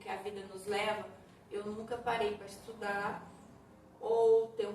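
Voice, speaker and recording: A woman talks at a fairly slow pace with a fairly high pitch. Audible room echo and noticeable background noise surround her voice. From Brazil, Minas Gerais (São Sebastião do Paraíso, interior). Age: 50s. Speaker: ceramic artist. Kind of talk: interview.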